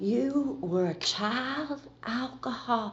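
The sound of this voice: In a put-on character voice, a female-sounding, soft-spoken speaker uses a fairly high pitch at a very slow pace.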